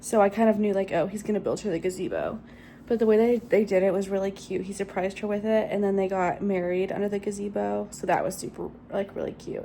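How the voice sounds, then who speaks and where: Her voice has a dark, mellow tone as a woman speaks at a very fast pace and medium pitch in a monotone, flat intonation. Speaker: book vlogger. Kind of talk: casual vlog chat. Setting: in public on vacation. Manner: casual, filler-heavy; quiet, speaking softly in public.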